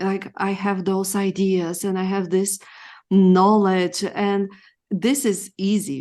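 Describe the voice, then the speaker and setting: In a Bulgarian accent, a woman talks at a fairly slow pace. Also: quiet background. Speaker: femininity coach. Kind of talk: interview. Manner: halting.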